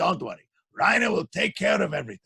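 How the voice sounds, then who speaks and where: A man in a raspy, put-on character voice rattles along at a very fast pace. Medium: read story.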